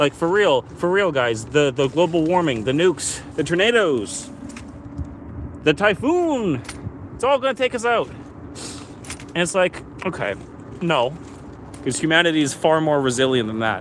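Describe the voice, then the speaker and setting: A man's voice with very wide pitch swings and long, frequent pauses, over noticeable background noise. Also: fairly high pitch for a man, moderate pace. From Canada. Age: 20s. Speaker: live streamer. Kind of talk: casual live stream monologue. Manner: animated.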